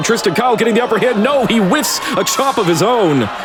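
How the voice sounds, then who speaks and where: Energetic and excited, a man talks at a very fast pace. Noticeable background noise runs underneath. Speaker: wrestling commentator. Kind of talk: improvised sports commentary. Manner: energetic, excited.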